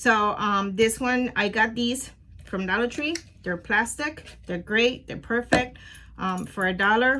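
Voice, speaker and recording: A woman speaks with a Spanish accent. Her tone is bright and sharp. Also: ordinary pitch variation, fairly slow pace. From Puerto Rico. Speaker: crafting youtuber. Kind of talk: tutorial. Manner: casual, hesitant with many fillers.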